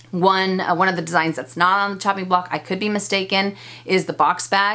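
A woman talks at a fairly quick pace. Her tone is bright and sharp. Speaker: fashion vlogger. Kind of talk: casual vlog chat, Q&A answers. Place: home room.

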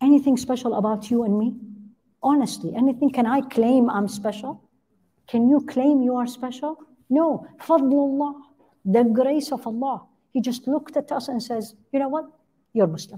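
Speaking in an Arabic accent, a woman with a high pitch and a dark, mellow tone uses ordinary pitch variation at a moderate pace, with long, frequent pauses. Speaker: Islamic teacher and physician. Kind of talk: religious lecture. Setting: online class. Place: church. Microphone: headset.

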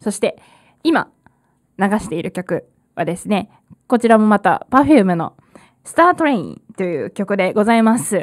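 With very wide pitch swings, a woman talks at a fairly slow pace, pausing long and often, against a quiet background. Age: 20s. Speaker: community radio host; radio host. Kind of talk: live radio talk. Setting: radio studio. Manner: hesitant with frequent fillers; laughs often. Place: studio. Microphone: studio mic.

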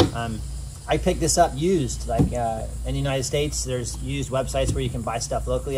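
The speech moves at a very fast pace. Loud background noise sits behind it. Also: man. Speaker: photographer reviewing a kayak. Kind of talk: casual vlog chat. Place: waterside. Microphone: camera far.

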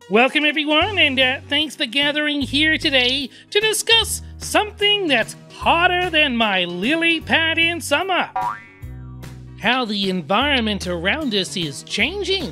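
A man's cartoonish character voice, extremely high-pitched and at a moderate pace, with clear music and sound effects in the background. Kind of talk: children's puppet show.

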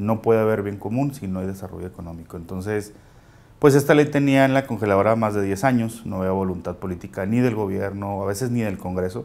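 A man with a northern Mexican accent, fairly low in pitch, very fast in pace, with ordinary pitch variation. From Mexico, Chihuahua. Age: 30s. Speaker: local politician. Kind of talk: interview. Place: studio. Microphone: lapel.

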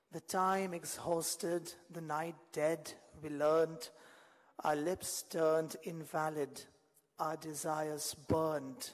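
A man speaking at a very slow pace against a quiet background. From India (Kolkata). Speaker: poet. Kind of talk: poetry reading. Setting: stage with audience. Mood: wistful, romantic. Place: stage. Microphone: podium.

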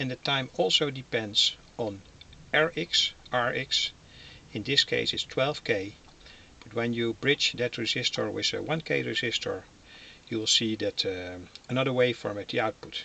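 Talking at a fairly slow pace with long, frequent pauses, a man is heard in a dry sound with no echo. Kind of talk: tutorial. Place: workshop. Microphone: phone near.

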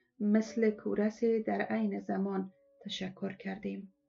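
A woman talks very slowly while music plays in the background. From Afghanistan. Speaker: former TV and radio presenter. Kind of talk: first-person story reading.

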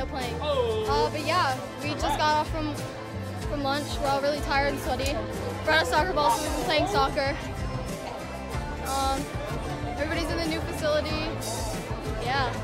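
Loud music plays behind a woman speaking at a moderate pace. She leaves long, frequent pauses. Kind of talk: casual vlog chat. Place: classroom. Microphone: phone near.

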